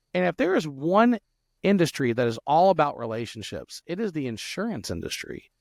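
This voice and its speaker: In a Louisiana accent, a man talks at a fairly quick pace with very wide pitch swings, the sound dry and close with no echo. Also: fairly high pitch for a man. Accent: Southern US (Louisiana). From South Louisiana. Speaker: software entrepreneur and podcast host. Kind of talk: podcast interview. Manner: fast, with frequent stutters and restarts.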